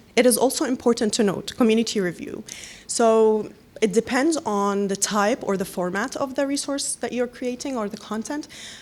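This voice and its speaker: A woman speaks in an Arabic accent. Her pitch is fairly high, and her pace is moderate. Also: ordinary pitch variation. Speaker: panelist from a newcomer support organization. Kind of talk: panel presentation.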